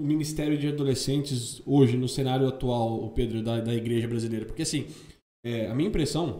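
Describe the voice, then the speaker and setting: Amid audible room echo, a somewhat breathy man with a dark, mellow tone talks at a very fast pace and medium pitch with ordinary pitch variation. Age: 30s. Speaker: podcast co-host. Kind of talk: casual chat.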